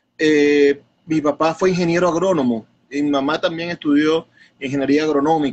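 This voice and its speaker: This man has an ordinary speaking voice with a fairly high pitch. He keeps a moderate pace, fairly even intonation and very even loudness. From Venezuela, Zulia (Maracaibo). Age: 30s. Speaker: poet and bookseller. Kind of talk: interview.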